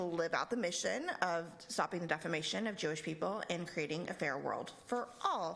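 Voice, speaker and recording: A plain, everyday voice moves at a moderate pace. Its pitch varies in an ordinary way. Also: woman. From Texas, El Paso. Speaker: nonprofit regional director. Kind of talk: lecture.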